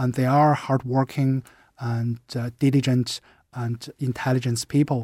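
Recorded very cleanly with a silent background and a dry, close sound with no echo, a man speaks in a Chinese accent. His medium-pitched, dark, mellow voice moves at a fairly slow pace with monotone, flat intonation. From China. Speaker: university department head. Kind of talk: radio interview.

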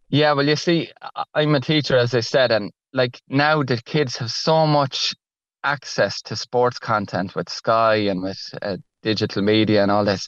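In an Irish Midlands accent, a man speaks fairly slowly at a medium pitch with lively intonation, the sound dry and close with no echo and the background quiet. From Ireland, Laois (Emo). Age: 40s. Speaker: author and primary school teacher. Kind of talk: radio interview.

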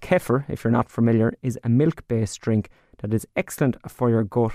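In an Irish accent, a man of medium pitch talks at a fairly quick pace, with a dry, close sound with no echo on a very clean recording with a silent background. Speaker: radio presenter. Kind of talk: radio farming programme. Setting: radio studio.

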